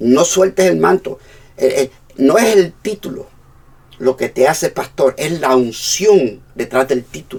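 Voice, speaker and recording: Using a fairly high pitch with very wide pitch swings, a man speaks at a fairly slow pace. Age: 60s. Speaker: pastor. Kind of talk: sermon.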